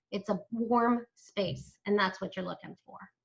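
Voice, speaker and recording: An ordinary speaking voice from a woman at a moderate pace. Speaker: senior move manager and business owner. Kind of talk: webinar presentation. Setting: live online webinar streamed to Facebook.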